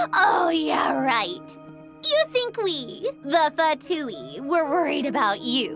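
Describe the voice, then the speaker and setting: Over clear background music, a put-on character voice delivers lines at a very slow pace. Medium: machinima. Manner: curt, aloof.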